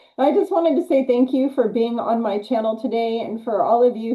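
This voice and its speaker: A woman's plain, everyday voice at a fairly quick pace, with ordinary pitch variation. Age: 60s. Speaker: health channel host. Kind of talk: interview.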